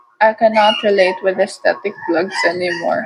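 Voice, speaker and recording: A woman speaks at a fairly slow pace in a medium pitch, her intonation fairly even, with music in the background. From Philippines, Tagalog-speaking family. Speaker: vlogger. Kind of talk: casual vlog monologue. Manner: rambling chatty yapping.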